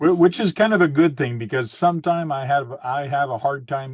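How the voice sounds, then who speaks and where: A man speaks with a French accent at a moderate pace. His fairly high voice is somewhat breathy, with ordinary pitch variation. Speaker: RC hobbyist. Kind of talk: casual chat.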